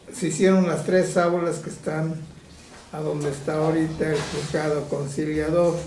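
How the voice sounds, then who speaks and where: This man's voice sits fairly high for a man, delivered at a moderate pace in a flat monotone, with noticeable background noise and audible room echo. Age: 70s. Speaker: village elder. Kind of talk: interview. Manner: halting.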